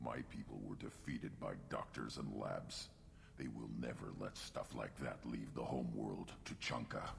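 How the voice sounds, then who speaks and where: In a put-on character voice, a man talks at a moderate pace with very even loudness over clear background noise. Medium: video game. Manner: blunt, short clipped sentences.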